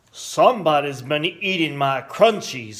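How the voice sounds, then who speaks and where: Putting on a growling character voice, a man speaks at a moderate pace with lively intonation and a fairly high pitch. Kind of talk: bedtime story. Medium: read story.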